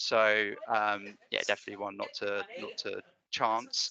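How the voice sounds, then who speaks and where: The voice carries a British accent and sounds dry and close, with no echo. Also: man. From UK. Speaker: data analytics consultant. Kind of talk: tutorial. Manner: hesitant, many fillers.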